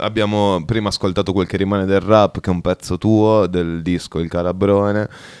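A man with a very deep, low pitch talks in an animated tone at a moderate pace with ordinary pitch variation. The sound is dry and close with no echo, on a very clean recording with a silent background. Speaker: radio host. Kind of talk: casual banter, irreverent radio chat. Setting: radio studio. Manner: animated, swearing, joking.

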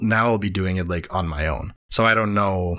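With a Spanish accent, a man speaks in a bright, sharp tone with ordinary pitch variation on a very clean recording with a silent background. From Venezuela. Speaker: comic artist. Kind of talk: casual chat.

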